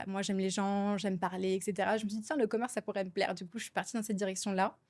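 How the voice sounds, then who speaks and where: A woman at medium pitch talking at a very fast pace, on a very clean recording with a silent background. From France, Alsace (Strasbourg). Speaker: entrepreneur. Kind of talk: podcast interview. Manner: chatty, many hesitations.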